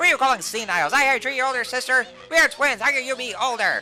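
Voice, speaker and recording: A put-on character voice speaks at a fairly high pitch and moderate pace. Clear music plays in the background. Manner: bickering, scornful.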